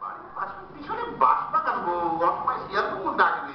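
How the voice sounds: At a fairly quick pace, a man puts on a character voice with an extremely high pitch and very wide pitch swings, and room echo is audible.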